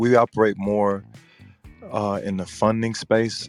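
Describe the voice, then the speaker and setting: A man speaks at a fairly slow pace with a fairly low pitch and monotone, flat intonation, with music in the background. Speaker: business funding consultant. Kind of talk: casual podcast talk.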